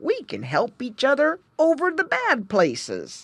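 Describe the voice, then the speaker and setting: A woman's put-on character voice, high in pitch and fairly slow, on a very clean recording with a silent background. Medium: read story. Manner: solemn, croaking.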